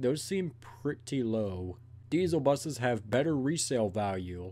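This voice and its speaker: The man's voice has a dark, mellow tone. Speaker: video reactor. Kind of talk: casual reaction commentary. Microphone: earbuds.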